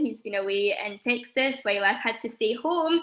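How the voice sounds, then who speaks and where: A woman speaks in a Scottish accent. Her pitch is fairly high and her pace fairly quick. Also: very clean recording, silent background. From Scotland. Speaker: teacher. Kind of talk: testimony.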